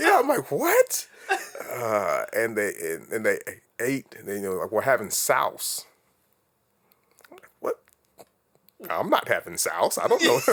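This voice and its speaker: Speaking with an American accent, a man talks at a fairly slow pace with long, frequent pauses. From Florida, US South (military family, some childhood in England). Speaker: interview guest. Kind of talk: casual interview chat.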